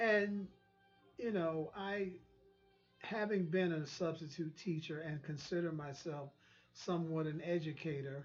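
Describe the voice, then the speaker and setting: A man with an American accent talks at a high pitch and a fairly slow pace, his pitch varying in an ordinary way. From US South. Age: 60s. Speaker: online talk show host. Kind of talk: monologue commentary. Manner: halting, with frequent repetitions.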